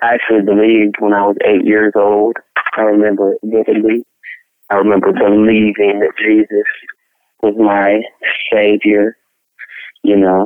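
With a Memphis accent, a man speaks at a moderate pace in a fairly low, monotone, flat voice, very even in loudness and broken by long, frequent pauses. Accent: Southern US (Memphis). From Memphis, Tennessee. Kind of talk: interview testimony.

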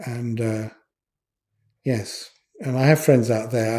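This man's medium-pitched voice is somewhat breathy, with a dark, mellow tone and flat, monotone intonation. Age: 70s. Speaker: electronics engineer. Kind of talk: interview. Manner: hesitant, many fillers.

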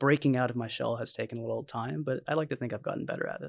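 Talking at a very fast pace with vocal fry, a man is heard on a very clean recording with a silent background. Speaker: assistant professor, stem cell researcher and podcast co-host. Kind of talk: panel discussion. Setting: in-person at a table. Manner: enthusiastic.

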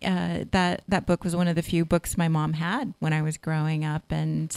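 The sound is dry and close, with no echo. A woman speaks at a moderate pace in a West Coast accent. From Northern California. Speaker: novelist and English professor. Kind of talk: interview.

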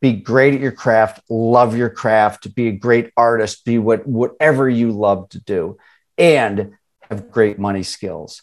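A man speaks in an ordinary speaking voice, medium in pitch and with a fairly even intonation. He talks at a fairly slow pace in an American accent. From suburban Chicago. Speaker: financial educator. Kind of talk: interview.

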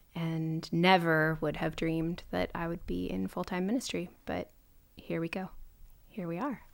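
A woman with an American accent in a normal speaking voice, with fairly even intonation and a moderate pace. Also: fairly low pitch for a woman, very clean recording, silent background. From Minnesota. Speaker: pastor's wife in church ministry. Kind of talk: casual chat.

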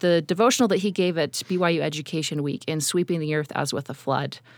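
Recorded very cleanly against a silent background, a woman with an ordinary speaking voice talks at a fairly low pitch with ordinary variation. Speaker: university researcher. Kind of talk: interview.

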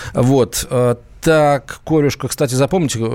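This man talks at a fairly high pitch. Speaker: radio host. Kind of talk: live radio talk show. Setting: studio. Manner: animated.

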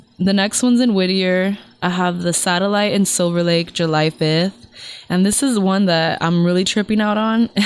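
Recorded very cleanly with a silent background, a woman speaks at a medium pitch with fairly even intonation. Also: moderate pace. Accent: Californian. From Los Angeles area. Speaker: singer. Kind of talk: casual chat. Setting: studio.

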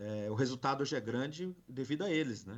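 A man speaks at a medium pitch with ordinary pitch variation. He has an unremarkable speaking voice, heard against a quiet background. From Brazil, São Paulo city. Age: 40s. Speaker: corporate security and loss prevention manager. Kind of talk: live podcast interview.

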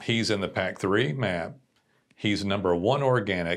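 An ordinary speaking voice from a man, with ordinary pitch variation at a moderate pace, on a very clean recording with a silent background. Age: 40s. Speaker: digital marketing agency owner. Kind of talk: casual chat.

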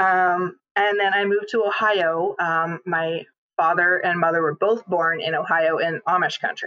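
With a Canadian accent, a woman has an ordinary speaking voice, medium in pitch, at a moderate pace and very even loudness. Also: fairly even intonation. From Canada, northern British Columbia. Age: 40s. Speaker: physical therapy client. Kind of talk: interview.

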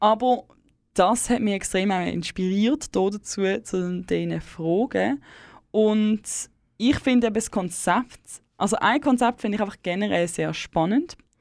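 A woman of medium pitch speaks at a fairly slow pace with ordinary pitch variation and long, frequent pauses in a very clean recording with a silent background. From Switzerland, German-speaking, bilingual with English. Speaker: community radio host. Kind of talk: late-night radio chat. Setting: dark radio studio.

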